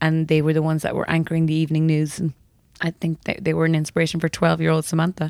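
A woman speaks very fast with an Irish accent and a very deep, low pitch. Her intonation is monotone and flat, and her loudness stays very even. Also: dry, close sound with no echo. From Ireland, West Cork. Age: 30s. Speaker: magazine editor. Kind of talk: interview. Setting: office.

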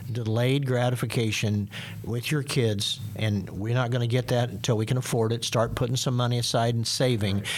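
Against noticeable background noise, a man speaks at a moderate pace with monotone, flat intonation. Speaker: senior pastor. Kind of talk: casual panel discussion. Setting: studio.

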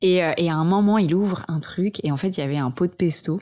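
A woman speaks with a fairly low pitch. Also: quiet background. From French Alps, Vercors. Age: 20s. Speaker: eco content creator. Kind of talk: casual interview. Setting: host's living room.

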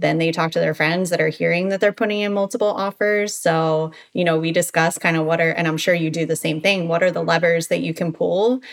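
A woman talks at a fairly quick pace with a fairly low pitch. She hardly pauses at all. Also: fairly even intonation. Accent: American. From Baltimore, Maryland. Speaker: real estate agent. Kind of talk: interview.

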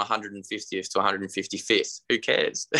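This is a man speaking with an Australian accent. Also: dry, close sound with no echo, very clean recording, silent background. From Tasmania, Australia. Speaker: musician and runner. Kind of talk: casual chat.

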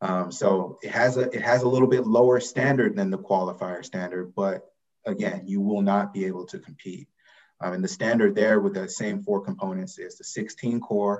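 In an American accent, a man talks at a moderate pace with a plain, everyday voice, a fairly low pitch and ordinary pitch variation. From US South, Atlanta, Georgia. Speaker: college athletics eligibility official. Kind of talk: interview.

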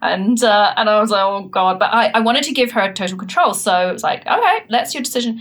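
Very fast, nearly pause-free speech from a woman with a fairly high voice, ordinary pitch variation and a New Zealand accent. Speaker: startup founder and CEO. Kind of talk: interview.

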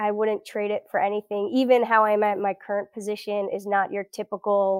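A woman's medium-pitched voice in a Florida accent, flat and monotone, dry and close with no echo. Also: very clean recording, silent background. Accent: general American, Florida. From South Florida. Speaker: elephant researcher. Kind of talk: interview conversation.

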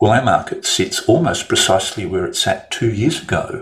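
A man with an Australian accent. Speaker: trader and market analyst. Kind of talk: market commentary monologue.

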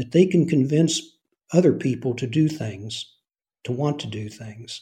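A man speaks at a moderate pace with lively intonation. His voice is fairly high in pitch, with a dark, mellow tone. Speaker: retired intelligence officer and novelist. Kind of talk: interview about his novel.

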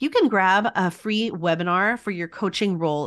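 With an American accent, a woman in a plain, everyday voice speaks at a moderate pace and medium pitch, her pitch varying in an ordinary way. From Texas. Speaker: podcast host and instructional coach. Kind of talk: interview chat, with scripted promo reads.

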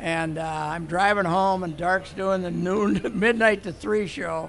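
A man with an Upper Midwest accent speaks in a high pitch. His pace is fairly slow and his intonation fairly even. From Minnesota. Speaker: sports columnist. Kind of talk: interview storytelling.

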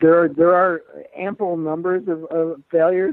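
At a moderate pace, a man talks in a plain, everyday voice with a fairly high pitch. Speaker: sports columnist. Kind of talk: casual interview chat about sports.

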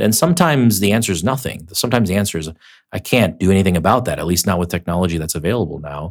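A man talks in a fairly low voice. His is a plain, everyday voice with lively intonation. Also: very clean recording, silent background. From immigrant to America as a child, raised in Minnesota. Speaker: tech startup founder. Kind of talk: interview.

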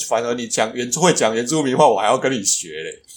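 A man speaks with a Taiwanese accent. Music plays in the background. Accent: Taiwanese-accented Mandarin. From Taiwan, Tainan. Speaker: podcast co-host. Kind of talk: casual chat.

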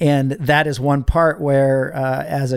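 A man with an American accent speaks at a fairly slow pace in an unremarkable speaking voice, his medium pitch carried by fairly even intonation. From Northern California. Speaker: ministry leadership coach, Air Force member. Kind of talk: interview.

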